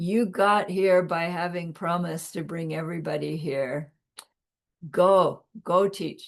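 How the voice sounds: In a booming, put-on character voice, the speaker goes at a fairly slow pace with a middle pitch and fairly even intonation.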